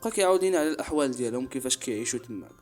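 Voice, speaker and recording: There's music in the background as a man speaks. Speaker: storyteller. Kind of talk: horror story narration.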